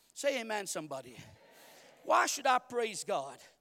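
A man speaks in an animated tone. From Mauritius. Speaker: guest preacher. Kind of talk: sermon to a congregation, in full flow. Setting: church stage in front of a live congregation. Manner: animated, call-and-response, urging the crowd to shout 'say amen'; rhythmic, repeats words and tosses in jokes.

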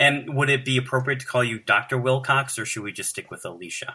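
Fairly quick delivery in an ordinary speaking voice, its pitch varying in an ordinary way. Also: man. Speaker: podcast co-host interviewer. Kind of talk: casual interview.

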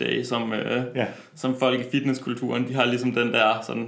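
Background noise is noticeable and the room echo is audible. A man speaks at a moderate pace and medium pitch in a monotone, flat delivery. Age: 20s. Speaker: personal trainer and medical student. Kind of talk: interview. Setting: studio.

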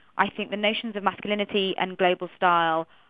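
A woman's fairly low-pitched voice with a Manchester accent and fairly even intonation. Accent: British English, Manchester. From Manchester, northern England. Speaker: journalist and curator. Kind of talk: radio panel discussion. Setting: phone line to radio studio.

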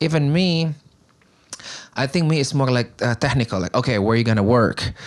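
A man speaks at a moderate pace with an Indonesian accent. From Indonesia (Bandung, West Java). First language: Sundanese / Indonesian. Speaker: community organizer. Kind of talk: casual chat.

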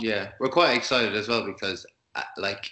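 A man with an Irish accent, speaking at a moderate pace. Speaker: musician in a band. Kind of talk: interview.

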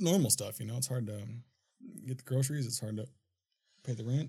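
The speaker is a man with a somewhat breathy voice at medium pitch. He talks at a fairly quick pace with ordinary pitch variation. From Minnesota, US. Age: 30s. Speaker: filmmaker and studio owner. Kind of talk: casual chat. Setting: studio.

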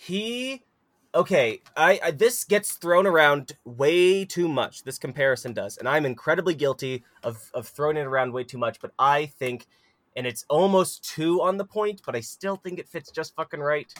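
A man with a fairly high pitch speaks at a moderate pace with lively intonation. The sound is dry and close, with no echo. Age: 20s. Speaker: wrestling podcast co-host. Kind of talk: casual chat. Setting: recording in a closet at home. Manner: animated.

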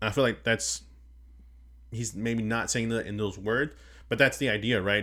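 A loud man's medium-pitched voice with a bright, sharp tone at a moderate pace, in a very clean recording with a silent background. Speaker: podcast host. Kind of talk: casual chat.

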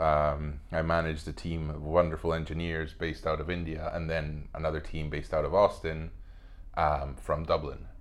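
Audible room echo surrounds a man's very deep, low voice. He talks at a moderate pace in a monotone, flat way. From Spain, Madrid. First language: Spanish. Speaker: actor. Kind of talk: casual chat.

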